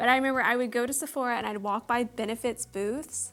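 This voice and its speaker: A woman with a Texan accent talks in an animated tone at a fairly quick pace, with music playing behind her. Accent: Texan American. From Texas, Houston. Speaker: beauty vlogger and singer. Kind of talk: casual chat.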